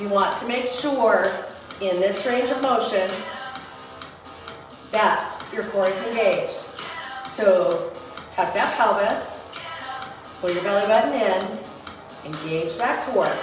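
Clear music plays in the background as a woman speaks at a very slow pace with long, frequent pauses and ordinary pitch variation, amid audible room echo. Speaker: fitness instructor. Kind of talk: workout instruction. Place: home room. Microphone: camera far.

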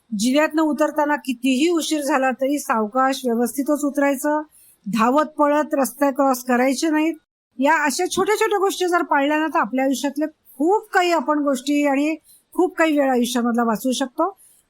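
A woman speaks in a high voice with ordinary pitch variation. Her loudness stays very even. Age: 50s. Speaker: entrepreneur and management expert. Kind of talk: interview.

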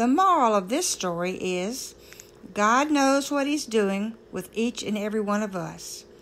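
Reading aloud in a natural voice with lively intonation

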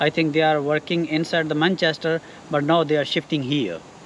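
A man with a Pakistani accent speaks at a fairly high pitch. The sound is dry, with no echo, and light background noise. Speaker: security guard. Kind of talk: casual chat; interview answer. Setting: outdoors. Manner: halting. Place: street.

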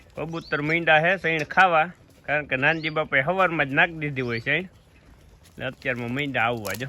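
Fairly high in pitch, a man's voice has a bright, sharp tone and ordinary pitch variation. It sounds dry, with no echo. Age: 30s. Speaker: family vlogger and farmer; family vlogger. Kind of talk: casual vlog chat. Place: farm. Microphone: phone near.

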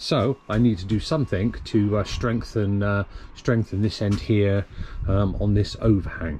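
Against light background noise, a man with a fairly low pitch talks at a fairly slow pace, somewhat breathy and dark and mellow in tone, with ordinary pitch variation. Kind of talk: casual build vlog narration. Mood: relaxed, self-mocking. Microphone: phone near.

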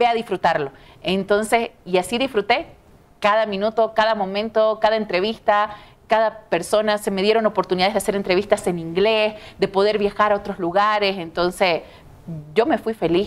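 A woman's medium-pitched voice at a moderate pace, with fairly even intonation. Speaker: TV news presenter. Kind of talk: interview. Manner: talkative. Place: studio. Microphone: lapel.

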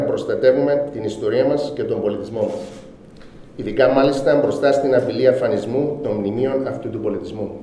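Audible room echo around a man speaking at a moderate pace. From Cyprus, Famagusta; Cyprus. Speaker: businessman. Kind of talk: formal speech. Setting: award ceremony. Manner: formal. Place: hall. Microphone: podium.

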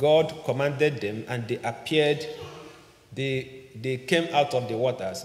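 In a room with audible echo, a man speaks fairly slowly with ordinary pitch variation. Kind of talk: sermon. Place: church. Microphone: podium.

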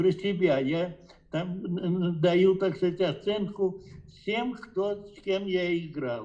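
This man has a high voice and speaks at a very slow pace with ordinary pitch variation. The background is quiet. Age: 80s+. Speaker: chess grandmaster. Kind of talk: interview answer. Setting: phone line. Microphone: video call.

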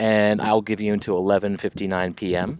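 Light background noise sits under a man's voice. He talks at a fairly slow pace, the sound dry with no echo. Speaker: teacher. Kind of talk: class announcement to students. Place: home room.

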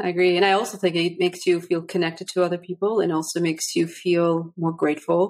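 A woman talks at a very fast pace with hardly any pauses. Her fairly low voice stays monotone and flat, with very even loudness. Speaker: podcast host. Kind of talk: interview. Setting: video call. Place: home room. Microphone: studio mic.

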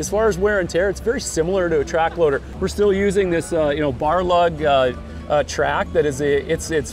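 Clear music sits in the background of this dry, echo-free recording, with speech at a fairly quick pace. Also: man. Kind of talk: interview answer. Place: street.

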